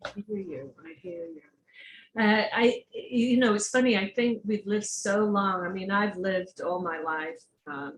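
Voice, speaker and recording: Somewhat breathy and fairly slow, the voice shows big swings in loudness and ordinary pitch variation. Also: woman, medium pitch for a woman. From England. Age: 60s. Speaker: online talk show host. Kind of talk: interview.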